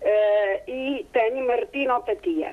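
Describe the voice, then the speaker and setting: A woman is speaking. Her pitch sits high. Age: 70s. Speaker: caller. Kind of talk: call-in question. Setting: phone call. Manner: halting.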